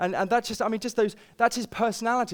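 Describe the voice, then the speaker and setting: A man with a British accent speaks in an animated tone at a high pitch, with ordinary pitch variation. The recording is very clean, with a silent background. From Britain. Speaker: pastor. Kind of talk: sermon.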